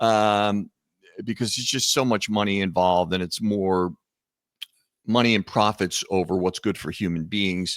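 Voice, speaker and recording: This speaker has a Philadelphia accent and a moderate pace, with a dry, close sound and no echo. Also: man, fairly low pitch for a man, fairly even intonation. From US Northeast, Philadelphia. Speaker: author and entrepreneur, heart attack survivor. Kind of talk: podcast interview. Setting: video call.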